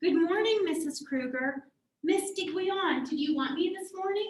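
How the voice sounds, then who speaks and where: Putting on a squeaky character voice at an extremely high pitch, a woman speaks at a moderate pace with ordinary pitch variation. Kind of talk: 1940s radio acting. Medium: audio drama.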